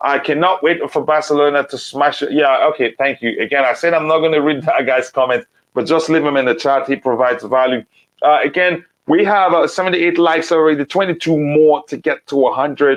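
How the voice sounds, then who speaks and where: A man with a non-native accent speaks at a fairly quick pace. His pitch is fairly high and his intonation fairly even. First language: not English. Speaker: football podcast host. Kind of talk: live stream chat. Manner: halting.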